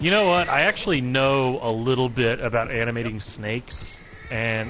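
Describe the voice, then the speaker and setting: A man speaks at a moderate pace with a medium pitch. His pitch varies in an ordinary way, and there is noticeable background noise. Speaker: gaming livestreamer. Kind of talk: live gameplay commentary. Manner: stutters at times; casual, conversational.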